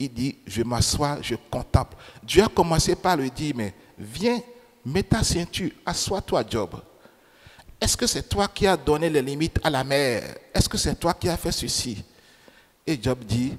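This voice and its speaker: Amid noticeable background noise, a man with a non-native accent speaks very slowly in a fairly high pitch with very wide pitch swings. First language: not French (speaking French). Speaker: preacher. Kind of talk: sermon.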